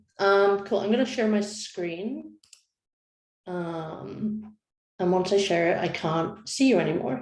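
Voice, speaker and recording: There is audible room echo. A woman at a medium pitch speaks at a very slow pace. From Scotland. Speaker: design lead. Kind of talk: panel presentation.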